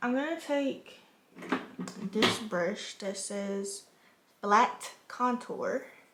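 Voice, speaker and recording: Lively in intonation, a woman with a fairly high voice is heard over noticeable background noise. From U.S. Virgin Islands. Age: 20s. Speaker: lifestyle content creator. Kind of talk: casual makeup tutorial talk to camera. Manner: casual, chatty.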